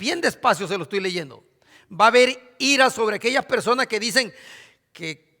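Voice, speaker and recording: In an extremely high pitch, a man projects a raised voice with a bright, sharp tone and lively intonation, on a very clean recording with a silent background. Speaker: pastor. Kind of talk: sermon.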